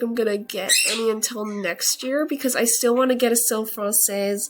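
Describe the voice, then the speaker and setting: Noticeable background noise sits behind a woman with a fairly high pitch. She keeps a moderate pace and fairly even intonation. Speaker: video game content creator. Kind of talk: casual game commentary to camera.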